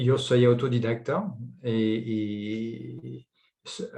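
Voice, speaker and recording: A man is speaking. His voice is somewhat breathy. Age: 50s. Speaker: entrepreneur. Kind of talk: personal testimony.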